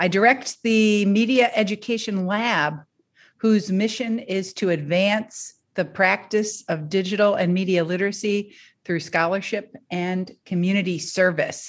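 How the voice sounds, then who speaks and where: A woman with an American accent uses a plain, everyday voice at medium pitch with ordinary pitch variation, recorded very cleanly over a silent background. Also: fairly slow pace. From US Midwest, Detroit, Michigan. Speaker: professor. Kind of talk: interview.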